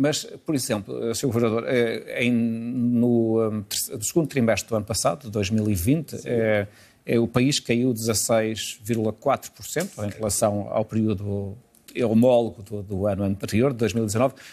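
At a very slow pace, a man speaks in a dark, mellow tone. His pitch is medium and varies in an ordinary way. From Portugal. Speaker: TV interviewer. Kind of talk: TV interview. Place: studio. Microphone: lapel.

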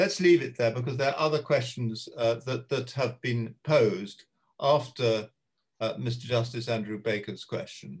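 Over a quiet background, a man with a medium pitch and ordinary pitch variation talks at a moderate pace in a somewhat breathy voice. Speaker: retired judge and arbitrator chairing webinar; retired judge. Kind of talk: moderating panel discussion. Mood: dry humour, calm. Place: home room. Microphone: video call.

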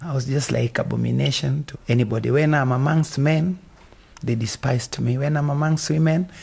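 A man with a Kenyan accent, fairly high in pitch, at a fairly quick pace. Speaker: gospel singer and church founder. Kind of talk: interview. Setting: outdoors on a playground. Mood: earnest, personal. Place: street. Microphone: handheld.

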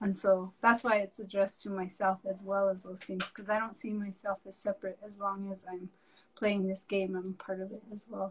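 A woman speaks with monotone, flat intonation, somewhat breathy and with big swings in loudness. Light background noise is present. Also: moderate pace. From Santa Clara Pueblo, New Mexico; New Mexico. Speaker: artist; guest. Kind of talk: casual interview. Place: home room.

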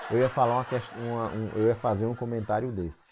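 A man's medium-pitched voice is heard on a very clean recording with a silent background. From Northeast Brazil, João Pessoa, Paraíba. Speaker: anesthesiologist and medical educator. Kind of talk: casual advice talk to camera.

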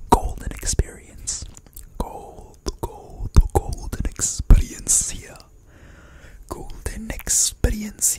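A man whispering in an intense tone at a very slow pace, with long, frequent pauses and loud background noise. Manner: intense close-mic whisper. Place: kitchen. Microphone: studio mic.

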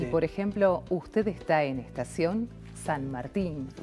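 Music plays in the background. A woman with an Argentine accent talks at a fairly slow pace. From Buenos Aires. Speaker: announcer. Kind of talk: public transport PA announcement. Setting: TV studio.

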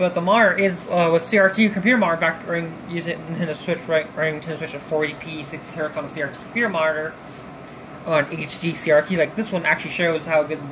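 The speech comes at a very fast pace. Noticeable background noise runs underneath. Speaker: tech hobbyist. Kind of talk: casual tech tutorial talk to camera. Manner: rambling, mumbling. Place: home room.

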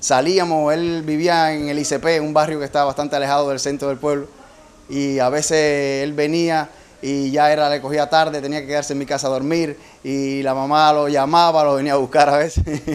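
At a moderate pace, a man with a fairly high pitch speaks in a monotone, flat way. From eastern Cuba. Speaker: childhood friend and former dancer. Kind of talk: testimony. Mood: warm, nostalgic, proud. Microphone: handheld.

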